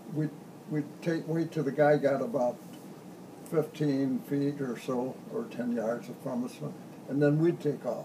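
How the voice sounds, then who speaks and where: Noticeable background noise behind a man at a fairly slow pace, fairly high in pitch with ordinary pitch variation and long, frequent pauses. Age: 80s+. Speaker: war veteran. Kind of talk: interview answer.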